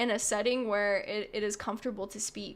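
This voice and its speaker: A woman projects her raised voice with a bright, sharp tone in a very clean recording with a silent background. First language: not English (unnamed mother tongue). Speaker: vtuber streamer. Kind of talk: casual chat. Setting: live stream. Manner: casual, filler-heavy.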